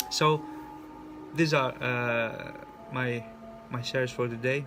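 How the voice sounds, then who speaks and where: At a very slow pace and with fairly even intonation, the voice carries audible room echo and noticeable background noise. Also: man, medium pitch for a man. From Greece. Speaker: spiritual coach. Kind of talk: personal vlog monologue. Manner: halting, with many repetitions and fillers.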